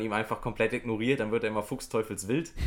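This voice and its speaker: Fairly even intonation and a medium pitch mark a man talking at a very fast pace. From western Germany, near Düren (Rhineland). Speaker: goalball player, visually impaired athlete. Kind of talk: interview.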